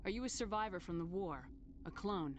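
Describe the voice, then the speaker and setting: A female-sounding voice does a put-on character voice at medium pitch and a fairly quick pace, with clear background noise. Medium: video game. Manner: calm, direct.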